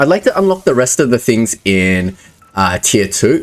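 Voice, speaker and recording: At a moderate pace, a man talks in a medium pitch that makes very wide swings. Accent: Australian. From Australia. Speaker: gaming YouTuber. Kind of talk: gameplay commentary. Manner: casual, thinking aloud.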